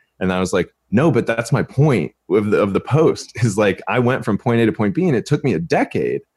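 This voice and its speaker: An ordinary speaking voice: a man with an American accent at medium pitch, speaking at a fairly quick pace with hardly any pauses. His intonation is lively, his loudness very even, and the sound dry and close with no echo. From Los Angeles, California. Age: 30s. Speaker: online fitness coach. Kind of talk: casual chat.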